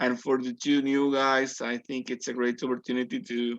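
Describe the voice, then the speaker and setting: A man with a Spanish accent talks at a medium pitch and a fairly quick pace. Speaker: language student. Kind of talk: group discussion. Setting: video call. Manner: halting.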